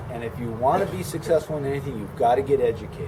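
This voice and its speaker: With noticeable background noise behind him, a man talks with lively intonation. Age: 60s. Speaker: detailing business owner. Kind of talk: casual interview chat. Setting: business meet and greet event.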